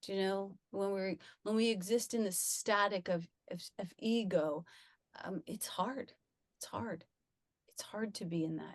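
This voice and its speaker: With a dry, close sound and no echo, a woman speaks at a medium pitch and a fairly slow pace, with ordinary pitch variation and long, frequent pauses. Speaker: spiritual speaker and former actor. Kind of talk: conversational spiritual talk. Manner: soft-spoken.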